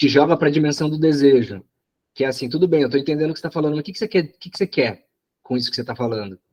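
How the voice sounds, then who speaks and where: Very fast male speech, fairly high in pitch, with ordinary pitch variation and big swings in loudness. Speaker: psychoanalysis study group coordinator. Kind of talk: study group discussion. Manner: halting, many repetitions.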